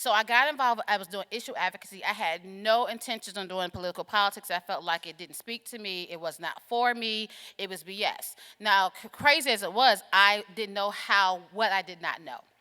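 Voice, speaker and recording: In a slight Southern US accent, a woman talks at a fairly quick pace in an animated, bright, sharp tone with ordinary pitch variation. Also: medium pitch for a woman, big swings in loudness, dry, close sound with no echo. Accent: slight Southern twang. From US South, Atlanta. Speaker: keynote speaker, political organizer. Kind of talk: keynote speech. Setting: stage with audience. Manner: fast.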